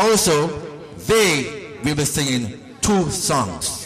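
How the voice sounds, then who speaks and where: Amid noticeable background noise and audible room echo, a man speaks loudly with lively intonation. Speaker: talent show host. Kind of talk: show hosting. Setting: stage with audience.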